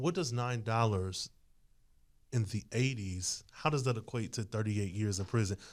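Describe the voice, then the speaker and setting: A man speaks in a normal speaking voice at medium pitch. His pace is moderate and his pitch variation ordinary. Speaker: podcast panelist. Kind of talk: casual chat.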